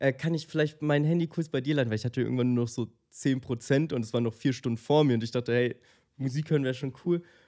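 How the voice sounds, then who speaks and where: Very fast delivery in a dark, mellow tone with ordinary pitch variation, on a very clean recording with a silent background. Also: man. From Germany, Munich. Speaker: podcast co-host. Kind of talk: casual chat. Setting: studio.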